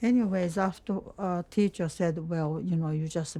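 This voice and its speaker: Music plays in the background. The speaker keeps a moderate pace with fairly even intonation. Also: woman. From Japan, Hiroshima. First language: Japanese. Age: 90s. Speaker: war survivor. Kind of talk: testimony. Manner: halting.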